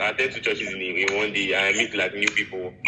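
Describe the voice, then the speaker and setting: A man with a Nigerian accent at a moderate pace, over noticeable background noise. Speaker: international graduate student. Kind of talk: casual chat. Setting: video call.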